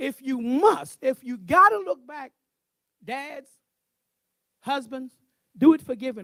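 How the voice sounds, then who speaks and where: A man speaks at an extremely high pitch in a raised, projected voice with an animated tone and lively intonation. His pace is fairly slow, with long, frequent pauses, big swings in loudness and a dry, close sound with no echo. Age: 60s. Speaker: minister speaking at men's event. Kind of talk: sermon.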